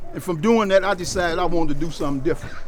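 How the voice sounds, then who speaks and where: Against noticeable background noise, a man speaks in a high pitch with ordinary pitch variation. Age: 70s. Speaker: community program leader. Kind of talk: casual talk to visitors.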